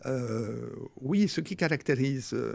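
Here a man talks at a medium pitch with lively intonation. Vocal fry runs through his voice. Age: 70s. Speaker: former psychoanalyst, author; former psychoanalyst. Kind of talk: interview. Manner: halting. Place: studio. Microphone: studio mic.

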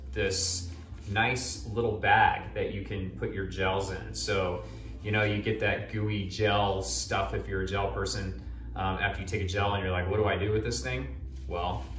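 Audible room echo and faint background music surround a man with a very deep, low pitch talking at a moderate pace. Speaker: gear reviewer. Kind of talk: product review talk. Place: home room. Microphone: camera far.

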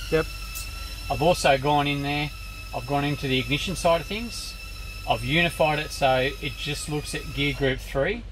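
This man has an Australian accent and speaks at a moderate pace. He leaves long, frequent pauses over noticeable background noise. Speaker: dyno tuner. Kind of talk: technical explanation. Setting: workshop. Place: workshop.

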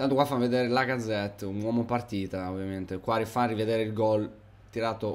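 A man speaks at a fairly quick pace. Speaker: gaming YouTuber. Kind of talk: live commentary. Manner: halting, stumbling over words; animated.

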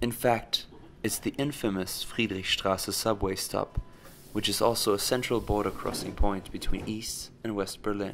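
At a moderate pace, the speaker uses a fairly bright tone and fairly even intonation. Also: man, fairly low pitch for a man.

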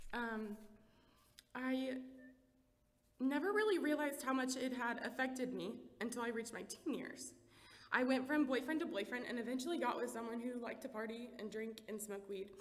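With long, frequent pauses, a woman speaks in a high pitch. Her pitch variation is ordinary. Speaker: church member giving testimony. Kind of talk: testimony. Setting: church with audience. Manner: fast talker when nervous. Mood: emotional, tearful at times. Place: church. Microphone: podium.

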